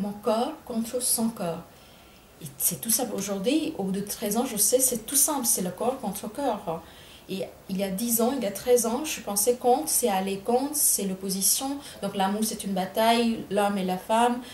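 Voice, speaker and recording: A woman talks fairly slowly at a fairly high pitch with ordinary pitch variation. Noticeable background noise and audible room echo are present. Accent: Bengali. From India, Bengal. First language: Bengali (speaking French). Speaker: writer. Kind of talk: interview. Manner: halting, many hesitations.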